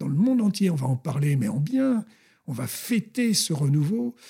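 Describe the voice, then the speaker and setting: With a dark, mellow tone and very wide pitch swings, a man speaks at a fairly high pitch in a dry, close sound with no echo. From France (born in Colombes, near Paris). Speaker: former athlete and history author. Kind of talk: interview, historical storytelling. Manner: animated.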